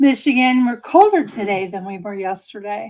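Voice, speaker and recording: Speaking with ordinary pitch variation, a woman sounds somewhat breathy. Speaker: craft shop owner and live stream host. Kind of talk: live craft tutorial. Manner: casual, hesitant with fillers.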